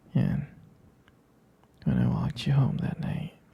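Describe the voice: A man whispers slowly in a put-on character voice, with a husky, rough edge and vocal fry.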